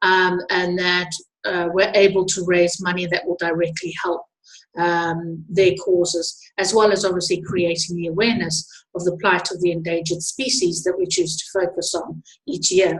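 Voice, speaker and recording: At a moderate pace, a woman with a South African accent speaks in a fairly low, flat monotone. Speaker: wildlife tour organizer. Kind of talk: webinar presentation. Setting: online webinar. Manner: hesitant, many fillers.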